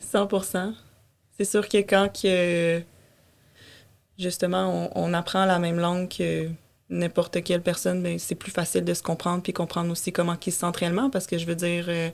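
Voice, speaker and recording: A woman with a Quebec accent at a moderate pace, monotone and flat in intonation, with long, frequent pauses, on a very clean recording with a silent background. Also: fairly low pitch for a woman. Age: 20s. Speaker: podcast guest. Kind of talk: casual interview chat. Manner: halting, many fillers.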